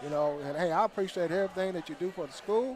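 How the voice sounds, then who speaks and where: There is noticeable background noise behind a man talking at a very fast pace. His voice is high, with ordinary pitch variation. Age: 60s. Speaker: football sideline volunteer. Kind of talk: pep talk to players. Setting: live show at a restaurant.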